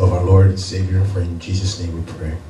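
Faint music plays behind a man who speaks at a fairly quick pace with a very deep, low pitch and monotone, flat intonation. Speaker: pastor. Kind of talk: prayer before sermon. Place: church.

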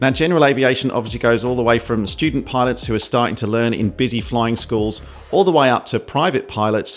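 Pitch varies in an ordinary way while a man talks at a very fast pace. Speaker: pilot video creator. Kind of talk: commentary. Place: home room.

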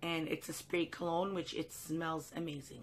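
There is light background noise behind a woman with an unremarkable speaking voice. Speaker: haul vlogger. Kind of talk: casual vlog chat. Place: home room. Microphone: phone near.

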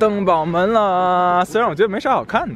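A man talks at a high pitch and a moderate pace with fairly even intonation. The sound is dry with no echo, over light background noise. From Tianjin. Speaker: travel vlogger. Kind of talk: casual banter with a friend. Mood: joking, laughing. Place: street. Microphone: phone near.

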